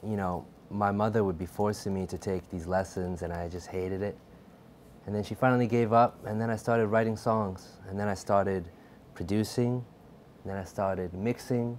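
Over light background noise, a man with a very deep, low voice talks at a moderate pace with fairly even intonation. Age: 20s. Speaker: music producer and songwriter; guest. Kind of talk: casual chat. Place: studio. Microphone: lapel.

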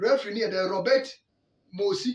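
Pitched high, a man's voice swings very widely up and down amid audible room echo. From Ghana. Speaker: sports channel host. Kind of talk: sports news commentary. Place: home room. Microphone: phone near.

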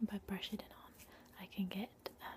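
A soft-spoken woman with a gentle, dark, mellow tone, somewhat breathy, at a moderate pace over light background noise. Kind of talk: soft-spoken role-play talk to the viewer. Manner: soft, gentle ASMR murmur. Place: home room. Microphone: webcam.

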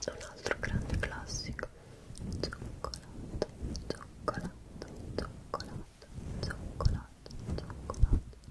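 Soft-spoken and whispering, a woman speaks very slowly with long, frequent pauses. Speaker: ASMR creator. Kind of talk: ASMR whisper/soft talk. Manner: soft close-mic ASMR whisper. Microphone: studio mic.

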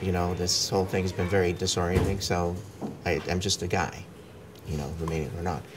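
Over clear background music, a man with a very deep, low voice speaks at a moderate pace in a flat monotone, taking long, frequent pauses. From New York, USA (left Romania as a child). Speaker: actor and film producer; interviewee. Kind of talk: casual interview; interview answer. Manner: code-switching, hesitant. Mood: relaxed, reflective. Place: home room. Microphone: lapel.

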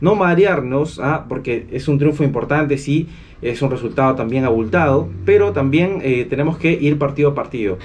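A man's animated voice at a moderate pace, with ordinary pitch variation and light background noise. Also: fairly high pitch for a man. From Peru. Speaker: football fan channel host. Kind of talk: match analysis vlog. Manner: animated, many fillers. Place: home room.

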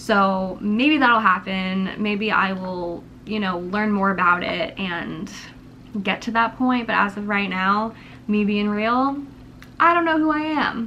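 With light background noise behind her, a woman speaks very slowly in a bright, sharp tone with lively intonation. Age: 20s. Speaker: YouTuber. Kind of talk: casual vlog monologue. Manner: rambling, unedited. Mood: candid, reflective personal talk. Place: home room. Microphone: camera far.

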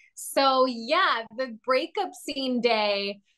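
Against a quiet background, a woman talks in a bright, sharp tone. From Latin America (Honduran-Venezuelan). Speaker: actress. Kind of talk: interview. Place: home room. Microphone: video call.

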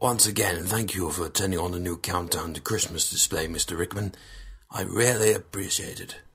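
A man puts on a character voice that is raspy and pitched very deep and low. He keeps a moderate pace and fairly even intonation. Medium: cartoon. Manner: polite, ingratiating.

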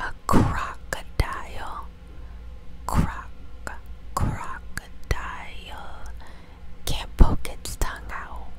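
Soft-spoken and whispering, a woman talks at a very slow pace with long, frequent pauses, over light background noise in a dry sound with no echo. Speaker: ASMR creator. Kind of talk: ASMR fact reading. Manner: whispered; soft, close to the microphone. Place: home room. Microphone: lapel.

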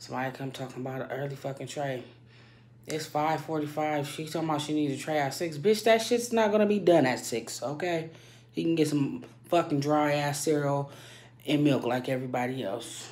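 A woman with a very deep, low voice talks at a fairly quick pace with lively intonation. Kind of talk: casual vlog rant. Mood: irritated, venting. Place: bathroom. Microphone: phone near.

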